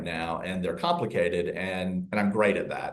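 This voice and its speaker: This man speaks with a Southern US accent. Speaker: real estate agent. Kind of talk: interview. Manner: soft.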